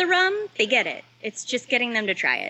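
A woman speaks at a moderate pace with an American accent and very wide pitch swings. Noticeable background noise runs behind her. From Los Angeles, US. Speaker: head distiller. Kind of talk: interview.

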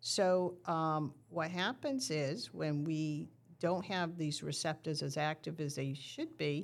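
A woman's ordinary speaking voice, fairly low in pitch and fairly slow, in a very clean recording with a silent background. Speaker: diabetes nurse educator. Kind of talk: educational explanation in casual interview.

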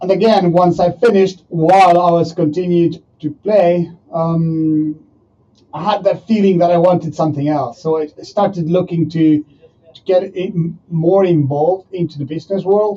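Despite a high pitch, the man's dark, mellow tone comes through at a moderate pace with fairly even intonation. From Argentina. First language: Spanish. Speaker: professional rugby player and entrepreneur. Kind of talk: interview. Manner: halting.

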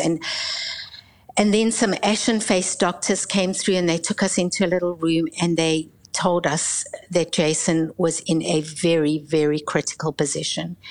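A woman's fairly low voice at a moderate pace, with fairly even intonation and very even loudness, amid noticeable background noise. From South Africa. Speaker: pastor and Bible college leader. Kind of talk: testimony.

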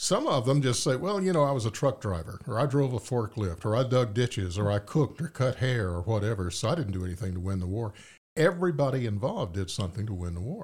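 A man with a Southern US accent, medium pitch, a somewhat breathy quality, very wide pitch swings, a very fast pace and hardly any pauses, on a very clean recording with a silent background. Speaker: podcast host and author. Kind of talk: interview conversation. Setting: studio.

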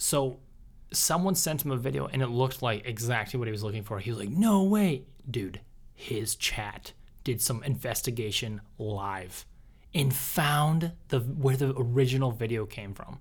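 A somewhat breathy man talks at a moderate pace. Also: medium pitch for a man, lively intonation. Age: 20s. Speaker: podcast co-host, engineer. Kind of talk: casual chat. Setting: studio.

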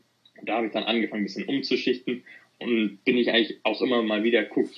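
The man's voice is fairly low. He talks at a very fast pace. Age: 20s. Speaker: student and young private investor. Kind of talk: casual interview. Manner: halting, many fillers.

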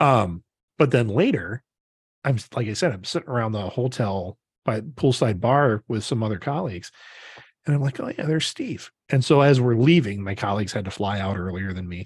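A man's somewhat breathy, medium-pitched voice with lively intonation at a fairly quick pace, on a very clean recording with a silent background. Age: 40s. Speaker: podcast co-host. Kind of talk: casual chat.

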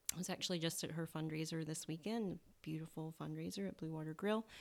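A woman with a Southern US accent speaks at a fairly quick pace, her very deep, low pitch showing ordinary variation, in a very clean recording with a silent background. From US South. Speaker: naturopathic doctor. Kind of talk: casual interview chat. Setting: in-person at host's home.

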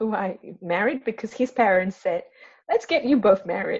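At a moderate pace, a woman speaks in a somewhat breathy, fairly high voice that makes very wide pitch swings. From Singapore. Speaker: trauma release and Reiki practitioner. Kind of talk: interview conversation.

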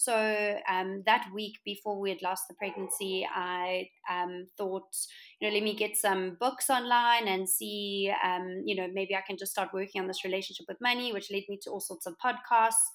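A woman with a South African accent talks at a moderate pace and medium pitch, her intonation fairly even. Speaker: interior designer, entrepreneur. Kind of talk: interview.

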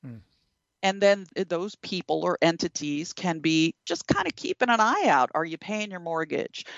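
With ordinary pitch variation and a moderate pace, this is a normal speaking voice. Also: woman, fairly low pitch for a woman. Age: 50s. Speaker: attorney, former securities regulator. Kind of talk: interview.

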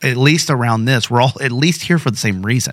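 In an ordinary speaking voice, a man talks at a fairly quick pace and medium pitch with ordinary pitch variation. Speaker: pastor. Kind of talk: casual chat.

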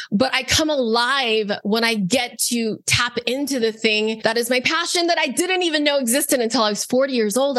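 Very even loudness from a woman at a high pitch, hardly any pauses, with noticeable background noise. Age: 40s. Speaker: online business coach and founder. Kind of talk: interview.

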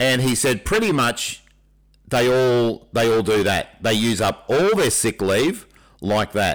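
Very slow, medium-pitched speech from a man in an Australian accent, with ordinary pitch variation and very even loudness, on a very clean recording against a silent background. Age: 60s. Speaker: teacher and podcast co-host, ex-military. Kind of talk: casual chat.

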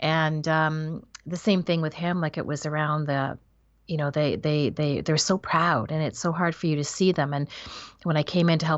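Over a quiet background, a woman talks at a fairly quick pace in a fairly low pitch. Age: 50s. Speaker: author and business coach. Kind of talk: interview. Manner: halting.

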